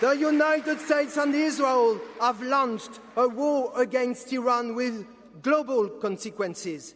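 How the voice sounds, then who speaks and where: Amid noticeable background noise, a man with an extremely high pitch and ordinary pitch variation speaks at a fairly slow pace. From France. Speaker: politician. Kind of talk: political speech. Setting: stage with audience. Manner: impassioned.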